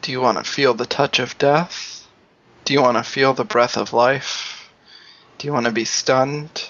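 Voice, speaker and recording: A man with an ordinary speaking voice talks at a moderate pace, his medium pitch showing ordinary pitch variation. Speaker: tabletop game player. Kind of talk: casual game chat.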